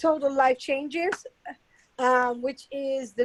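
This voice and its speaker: A woman with an American accent talks fairly slowly in a high pitch with fairly even intonation. The sound is dry and close, with no echo. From England. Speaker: motivational speaker. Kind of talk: casual chat.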